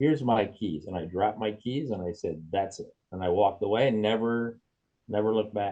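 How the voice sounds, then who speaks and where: His tone is dark and mellow. The male speaker's pitch moves with ordinary variation. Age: 70s. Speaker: retired track and cross-country meet organizer. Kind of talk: interview. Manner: halting, repetitive restarts.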